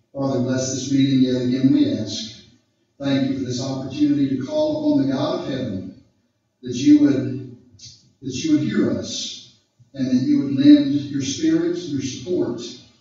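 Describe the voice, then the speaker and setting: A man speaks at a moderate pace with strong room echo. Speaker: guest. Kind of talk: prayer. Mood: solemn, earnest. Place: meeting room.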